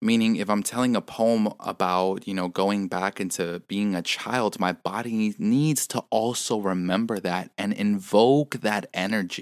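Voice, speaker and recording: Dry and close with no echo, a man's fairly low voice moves at a fairly slow pace with hardly any pauses and ordinary pitch variation. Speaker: podcast host and spoken word poet. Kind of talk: reflective solo monologue. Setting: quiet room, home recording. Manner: clearer, more concise than usual; casual, many fillers and repetitions.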